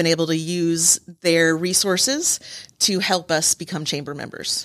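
With an American accent, a woman talks at a fairly slow pace in a fairly low pitch and fairly even intonation, a plain, everyday voice. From Michigan. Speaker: nonprofit chapter president. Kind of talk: radio interview. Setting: studio.

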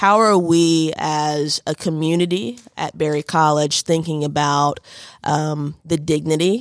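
A woman's very deep, low voice in a Southern US accent, very slow, with ordinary pitch variation and a dry, close sound with no echo. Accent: Southern US (Georgia). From US South, northwest Georgia. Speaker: university diversity director. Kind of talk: radio interview. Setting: radio studio. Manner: hesitant, many fillers and repetitions.

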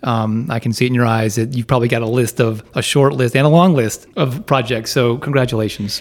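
A man with a normal speaking voice, medium in pitch, at a fairly quick pace with ordinary pitch variation. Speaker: radio host and banker. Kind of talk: casual interview. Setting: studio.

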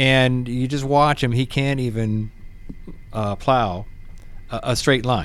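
In an American accent, a man with a medium-pitched voice speaks at a very slow pace with fairly even intonation. He leaves long, frequent pauses. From Pennsylvania. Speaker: real estate professional. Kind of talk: casual interview.

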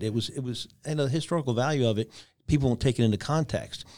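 A man with an ordinary speaking voice talks at a fairly quick pace with ordinary pitch variation on a very clean recording with a silent background. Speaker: author and former Marine. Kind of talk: interview. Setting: studio.

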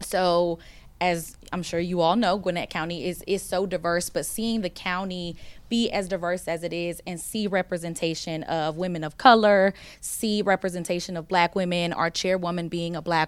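A woman with an American accent and a plain, everyday voice speaks at a moderate pace and fairly low pitch, with fairly even intonation. The recording is very clean, with a silent background. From US South. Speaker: county community engagement manager. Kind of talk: panel discussion.

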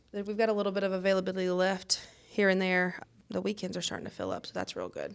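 Speaking at a very fast pace, a woman talks with a Mississippi accent. Her medium-pitched voice stays monotone, with flat intonation. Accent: US South, Mississippi. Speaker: restaurant owner. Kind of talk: casual chat. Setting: studio.

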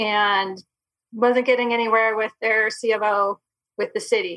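A woman with an American accent has a bright, sharp tone and medium pitch. Her intonation stays fairly even. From Michigan. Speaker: chamber of commerce president. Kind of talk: casual interview.

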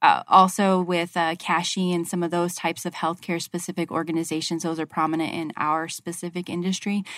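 A woman's fairly low voice with an American accent, flat and monotone, in a dry, close recording with no echo. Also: very clean recording, silent background. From Arizona. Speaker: healthcare construction project manager. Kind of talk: radio interview.

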